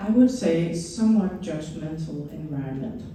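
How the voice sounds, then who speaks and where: In a Danish accent, a woman speaks with lively intonation. Room echo is audible. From Denmark. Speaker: educator and former principal. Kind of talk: conference presentation. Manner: enthusiastic.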